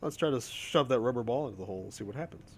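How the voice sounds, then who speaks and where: A man talks at a moderate pace with vocal fry. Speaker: video game streamer. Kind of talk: live gameplay commentary. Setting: live stream. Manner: casual, conversational.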